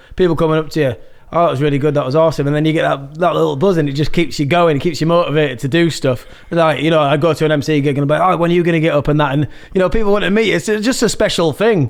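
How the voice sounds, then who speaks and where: Amid noticeable background noise, a man speaks very fast at a fairly high pitch, with ordinary pitch variation and very even loudness. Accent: Yorkshire. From Yorkshire, Malton. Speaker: musician and MC. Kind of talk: casual chat.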